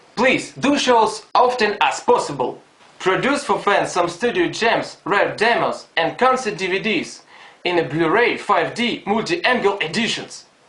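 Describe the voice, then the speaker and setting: A man with a non-native accent, high pitch and lively intonation, fairly slow pace, noticeable background noise. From Ukraine, Donetsk. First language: Russian or Ukrainian. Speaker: fan. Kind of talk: fan video message.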